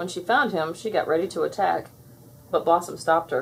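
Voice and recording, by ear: A woman speaks at a moderate pace with fairly low pitch and ordinary pitch variation. Her voice has a husky, rough edge and vocal fry.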